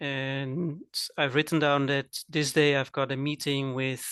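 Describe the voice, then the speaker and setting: In a Dutch accent, a man talks very slowly at a fairly high pitch with a bright, sharp tone, recorded dry and close with no echo against a quiet background. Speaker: cooking teacher and coach. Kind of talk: casual chat.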